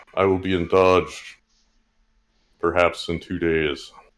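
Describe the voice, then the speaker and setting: A man in a put-on character voice speaks at a fairly slow pace, his very deep, low pitch held in a monotone, flat intonation. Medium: actual play. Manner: formal, stiff.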